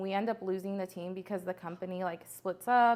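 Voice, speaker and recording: A woman's voice of medium pitch at a moderate pace. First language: Spanish. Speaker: entrepreneur. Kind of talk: podcast interview. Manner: animated.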